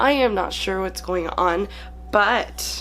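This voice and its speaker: The speech moves at a very slow pace. Music can be heard in the background. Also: woman. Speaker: YouTuber. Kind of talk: casual talk to camera.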